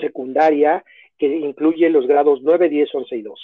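A man speaks with a Mexico City accent at a fairly high pitch. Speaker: educational consultant. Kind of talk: interview.

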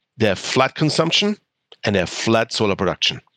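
A man talks at a very fast pace with a German accent and a medium pitch. The sound is dry and close, with no echo. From Germany. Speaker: clean tech entrepreneur. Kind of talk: interview.

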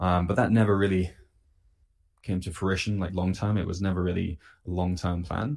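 In a very clean recording with a silent background, a man with a British accent and a very deep, low pitch talks very fast with fairly even intonation. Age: 20s. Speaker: health coach. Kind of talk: casual interview.

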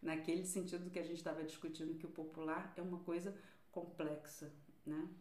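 In a Rio de Janeiro accent, a woman with a fairly low voice speaks fairly quickly and in a monotone, flat way, with audible room echo and noticeable background noise. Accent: carioca. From Rio de Janeiro, Brazil (Vila da Penha, north zone). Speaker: cultural policy researcher. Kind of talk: interview.

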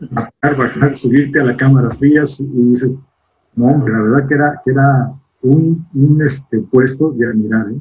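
A man's medium-pitched voice, fairly slow, with fairly even intonation. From Mexico City. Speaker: sales and brand manager. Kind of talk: interview. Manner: halting, repeats words.

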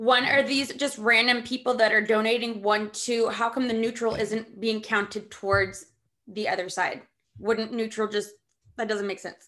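Bright and sharp in tone, a woman's fairly high voice moves at a moderate pace with monotone, flat intonation. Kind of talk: casual banter.

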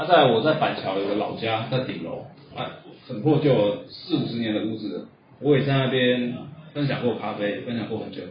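A man with a Taiwanese accent at a medium pitch and moderate pace, ordinary pitch variation, audible room echo and noticeable background noise. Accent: Taiwanese Mandarin. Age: 40s. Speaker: coffee roasting instructor. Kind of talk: lecture. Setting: classroom with audience.

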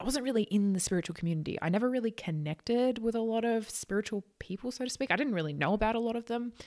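A woman with an Australian accent talks very fast at a fairly high pitch, with hardly any pauses and lively intonation. The recording is very clean, with a silent background. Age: 20s. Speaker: psychic channel, podcast host. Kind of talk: casual monologue.

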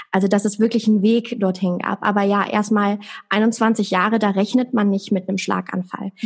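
A somewhat breathy woman with monotone, flat intonation. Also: medium pitch for a woman, moderate pace. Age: 20s. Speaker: stroke survivor. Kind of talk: interview.

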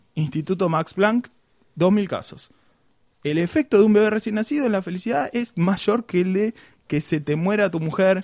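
High pitch for a man, a moderate pace, and ordinary pitch variation in a man's voice. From Argentina, Buenos Aires province. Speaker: podcast host. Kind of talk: casual comedic chat.

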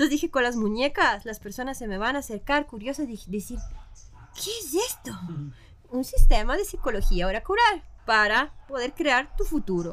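Bright and sharp in tone, a woman speaks at a moderate pace and high pitch, with very wide pitch swings and big swings in loudness. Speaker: metal vocalist and artist. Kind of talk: casual chat.

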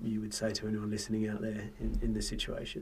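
A man's medium-pitched voice, dark and mellow in tone, with an Australian accent. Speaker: podcast host. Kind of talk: casual chat. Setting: studio.

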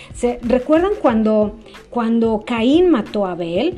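Over music in the background, a woman with a fairly high pitch talks in an animated tone at a fairly slow pace. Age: 40s. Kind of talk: devotional teaching monologue.

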